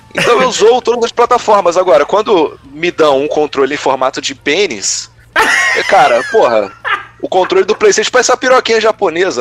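Very wide pitch swings come at a fairly quick pace in a dry, close sound with no echo, set against noticeable background noise. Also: man. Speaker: gaming youtuber. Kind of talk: casual chat.

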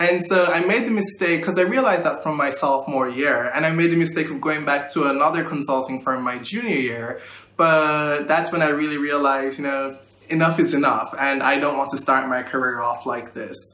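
Amid noticeable background noise and audible room echo, a man with a fairly high pitch speaks at a fairly quick pace. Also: ordinary pitch variation. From Jamaica, Kingston. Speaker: recent college graduate. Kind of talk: interview.

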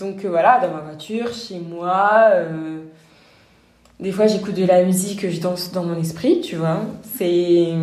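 At a very slow pace, a woman talks at a medium pitch with fairly even intonation. Noticeable background noise and audible room echo surround her voice. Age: 20s. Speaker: pharmacist. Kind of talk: interview.

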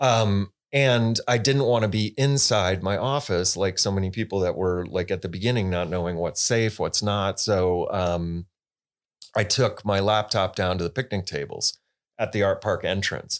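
In a very clean recording with a silent background, a man with an American accent talks at a fairly slow pace in a fairly low pitch with ordinary pitch variation, an unremarkable speaking voice. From West Michigan, US. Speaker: theatre executive director. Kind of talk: casual interview. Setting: studio.

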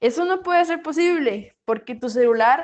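A high-pitched woman in a Costa Rican accent talks at a moderate pace with lively intonation. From Costa Rica, Paraíso de Cartago. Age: 20s. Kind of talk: reflective monologue. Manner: animated.

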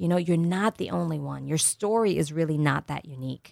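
In a plain, everyday voice, a woman talks at a moderate pace with lively intonation. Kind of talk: radio ad pitch. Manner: salesy, upbeat, promotional; persuasive, reassuring, rehearsed.

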